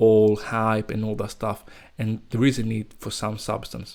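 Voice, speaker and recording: Fairly slow speech in a non-native accent, on a very clean recording with a silent background. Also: man. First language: not English. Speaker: crypto YouTuber. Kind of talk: unscripted market commentary. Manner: casual, unedited; occasional stuttering.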